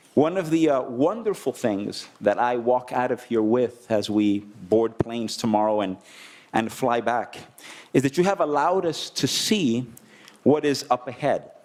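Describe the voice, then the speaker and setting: In a Spanish accent, a man talks at a fairly slow pace with long, frequent pauses. His medium-pitched voice has lively intonation. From Dominican Republic. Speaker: conference delegate. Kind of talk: closing remarks at a conference. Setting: conference plenary session.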